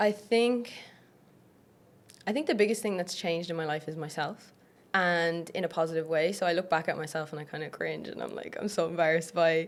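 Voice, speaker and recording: A woman with an Irish accent speaks fairly quickly at a fairly low pitch with ordinary pitch variation. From Ireland. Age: 20s. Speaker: online fitness coach. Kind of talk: podcast interview. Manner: casual, uses many fillers.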